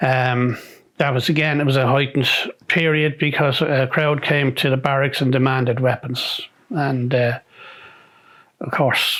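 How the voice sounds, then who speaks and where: A man with a Dublin accent speaks at a fairly high pitch and a fairly slow pace. His intonation is monotone and flat, broken by long, frequent pauses. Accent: Dublin Irish. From Dún Laoghaire, County Dublin, Ireland. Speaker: retired army sergeant, peacekeeping veteran. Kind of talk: oral history interview answer.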